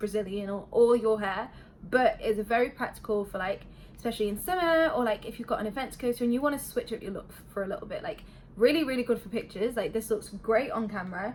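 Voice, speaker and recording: Talking at a very fast pace with a British accent, a woman shows fairly high pitch, ordinary pitch variation, and big swings in loudness. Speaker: beauty vlogger. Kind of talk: product review. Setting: home bedroom. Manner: casual.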